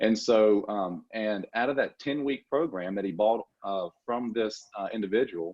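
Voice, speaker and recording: A strong Southern accent with ordinary pitch variation. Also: man. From Louisiana. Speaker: dental assisting school executive. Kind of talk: podcast interview. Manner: hesitant fillers.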